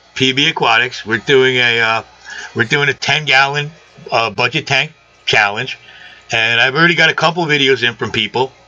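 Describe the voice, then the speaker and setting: A man talks at a fairly quick pace with a medium pitch and ordinary pitch variation. Noticeable background noise is present. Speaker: sign maker and aquarium hobbyist. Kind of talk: casual chat. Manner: loud.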